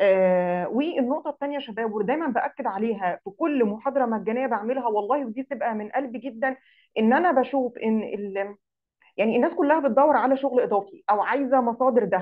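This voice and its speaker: High in pitch, a woman talks at a moderate pace with lively intonation. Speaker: digital marketing instructor. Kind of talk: online lecture. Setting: live Zoom session.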